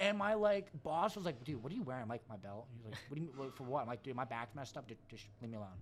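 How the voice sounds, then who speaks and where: At a medium pitch, a man talks very fast with hardly any pauses. His pitch swings very widely and his loudness shifts in big swings. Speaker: powerlifter and social media personality. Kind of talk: casual podcast chat. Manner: animated.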